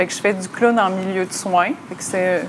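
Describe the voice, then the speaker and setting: Medium-pitched female voice with fairly even intonation over noticeable background noise. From Magdalen Islands, Quebec. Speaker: slam poet and therapeutic clown. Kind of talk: interview.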